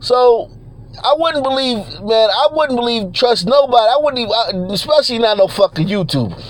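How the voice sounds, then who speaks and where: A man talks at a fairly quick pace in an extremely high pitch. There is noticeable background noise. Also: ordinary pitch variation. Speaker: YouTuber. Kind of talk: casual livestream rant. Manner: runs words together; halting, repeats words.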